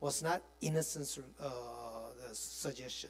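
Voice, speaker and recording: A man speaks with a Korean accent. His pace is very slow. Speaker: pastor teaching a Bible study. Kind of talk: Bible study lecture. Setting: church. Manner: halting, with many fillers.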